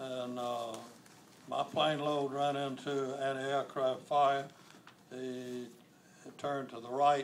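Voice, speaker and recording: With an American accent, a man speaks very slowly in a fairly high, flat monotone. Long pauses come often, and his loudness swings widely. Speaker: war veteran. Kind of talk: interview answer.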